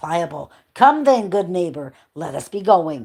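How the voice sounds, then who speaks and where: Putting on a character voice, a woman speaks in a raspy, fairly low pitch at a moderate pace with very wide pitch swings. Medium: read story. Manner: mild, agreeable.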